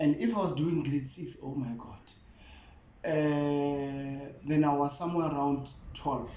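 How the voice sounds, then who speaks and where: A man speaks at a fairly slow pace in a fairly high pitch, his intonation fairly even. Room echo and background noise are both noticeable. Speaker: YouTuber. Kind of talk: casual chat.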